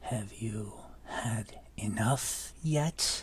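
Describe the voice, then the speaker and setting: A booming, resonant put-on character voice sits at a low pitch over clear background noise. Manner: booming, ominous, taunting.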